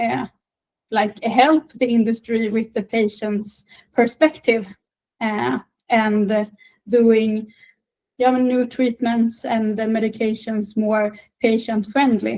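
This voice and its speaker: A woman with a Swedish accent, fairly high-pitched and somewhat breathy, with fairly even intonation, a very slow pace and long, frequent pauses. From northern Sweden. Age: 20s. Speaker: patient advocate. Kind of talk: interview. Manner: halting, many fillers.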